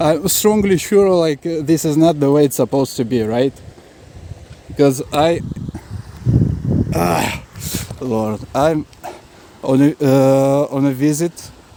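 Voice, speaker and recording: A man with a fairly high pitch speaks at a very slow pace. His long pauses come often, and background noise is noticeable. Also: ordinary pitch variation. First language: not English. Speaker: travel vlogger. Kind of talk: raw video diary right after an assault. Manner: halting, many fillers and repetitions.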